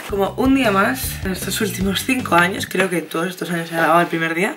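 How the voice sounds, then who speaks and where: A woman talks at a very fast pace over noticeable background noise. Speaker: vlogger. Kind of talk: casual vlog chat. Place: home room. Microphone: phone near.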